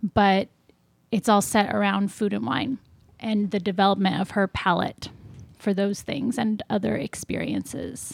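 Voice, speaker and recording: Vocal fry marks this fairly slow delivery with ordinary pitch variation, recorded very clean with a silent background and a dry, close sound with no echo. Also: woman, medium pitch for a woman. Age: 30s. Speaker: novelist. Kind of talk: casual chat.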